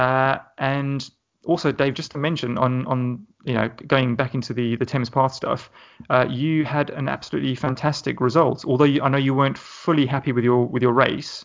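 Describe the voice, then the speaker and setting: Speaking at a fairly quick pace, a man with an English accent keeps a medium pitch and fairly even intonation. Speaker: podcast host. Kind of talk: casual interview.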